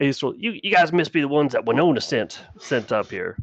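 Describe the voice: A man's gruff, put-on character voice at a fairly high pitch and fairly quick pace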